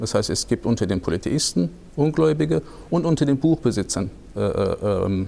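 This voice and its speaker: The pace is moderate. A man's voice rises and falls over a very wide pitch range. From Hesse, Germany. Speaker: Islamic studies researcher. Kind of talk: expert interview. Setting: studio recording in a church. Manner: hesitant, many fillers.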